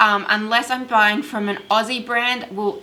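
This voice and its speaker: Here a woman speaks with an Australian accent. Her pitch varies in an ordinary way. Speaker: candle making youtuber. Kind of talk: tutorial. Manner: casual.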